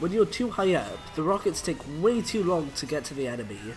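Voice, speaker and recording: Music plays in the background as a man talks fairly quickly, his fairly high voice making very wide pitch swings. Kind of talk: video game tutorial voiceover. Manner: hesitant, casual.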